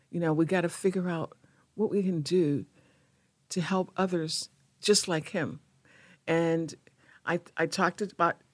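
At a moderate pace, a woman speaks in an unremarkable speaking voice, fairly low in pitch. The recording is very clean, with a silent background. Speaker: nonprofit founder. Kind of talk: casual interview. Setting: studio.

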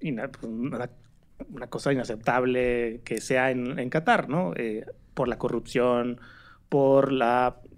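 Very slow male speech, medium in pitch, with fairly even intonation. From Mexico, Torreón. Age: 30s. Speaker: digital rights organization director. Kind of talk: casual chat.

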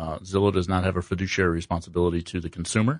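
Against a quiet background, a man with an American accent speaks in a very deep, low, monotone voice, the sound dry and close with no echo. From US Midwest (Columbus, Ohio). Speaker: real estate agent. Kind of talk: casual radio interview.

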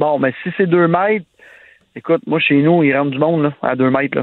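A man talks in a plain, everyday voice at a fairly quick pace. His pitch is fairly high. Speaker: nightlife entrepreneur. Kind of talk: casual chat.

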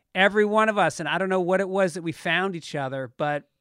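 Male speaker with an American accent, very clean recording and a silent background. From Westchester County, New York. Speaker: comedian. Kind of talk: casual chat.

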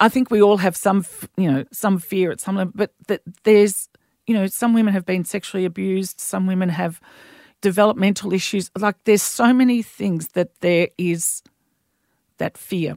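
Recorded very cleanly over a silent background, the speech comes at a moderate pace with fairly even intonation and a dry, close sound with no echo. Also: woman, medium pitch for a woman. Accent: Australian. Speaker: midwife. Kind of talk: casual chat.

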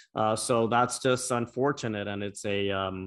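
A man with an American accent and a normal speaking voice, medium pitch, ordinary pitch variation and a moderate pace, against a quiet background. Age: 40s. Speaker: former congressman. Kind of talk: casual chat.

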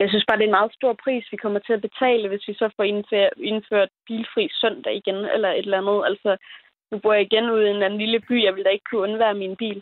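Very fast and monotone with flat intonation, a woman speaks at a fairly high pitch. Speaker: young voter calling in. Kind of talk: phone-in call.

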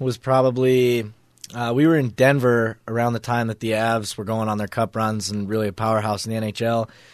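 A man with an American accent speaks in a plain, everyday voice. He keeps a moderate pace at medium pitch. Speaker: college hockey player. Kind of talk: interview. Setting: studio.

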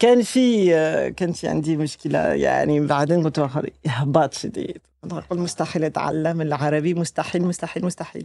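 A woman talks at a moderate pace in a very deep, low voice with a dark, mellow tone. Her pitch varies in an ordinary way, and her loudness swings widely. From France. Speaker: researcher and long-term expatriate in Yemen. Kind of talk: casual interview storytelling. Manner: animated, halting, hesitant.

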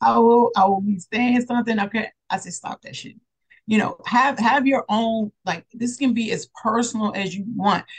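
The voice is somewhat breathy, with fairly even intonation. Its loudness swings widely at a moderate pace. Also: woman, fairly high pitch for a woman. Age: 40s. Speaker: therapist and mindset coach. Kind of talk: interview.

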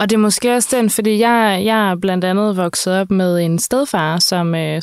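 A woman speaks in an unremarkable speaking voice at a medium pitch with fairly even intonation. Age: 30s. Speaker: podcast host. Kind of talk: interview.

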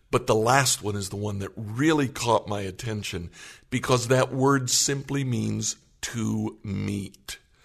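A somewhat breathy man at a fairly slow pace. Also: medium pitch for a man, ordinary pitch variation. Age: 60s. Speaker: pastor. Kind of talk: casual chat.

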